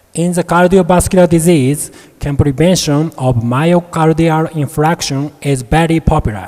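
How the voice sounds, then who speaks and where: Speaking at a moderate pace, this man has a fairly high pitch and ordinary pitch variation, with noticeable background noise behind him. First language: Japanese. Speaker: medical researcher, professor. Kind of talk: conference presentation. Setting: conference hall. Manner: formal.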